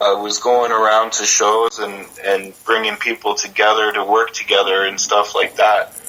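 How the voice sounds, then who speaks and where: A man speaks in a Western Canadian accent with noticeable background noise. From Ontario, Canada. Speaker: creative consultant for musicians. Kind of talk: interview. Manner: halting, many repetitions and fillers.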